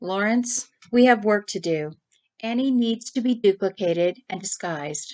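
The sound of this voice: An unforced voice reads aloud, with only quiet in the background.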